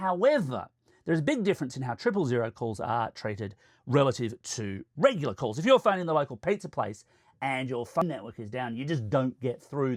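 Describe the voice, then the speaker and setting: A man with an Australian accent speaks at a fairly quick pace and a fairly high pitch, his pitch swinging very widely. The sound is dry and close with no echo, a very clean recording with a silent background. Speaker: tech reviewer. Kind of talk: explainer video.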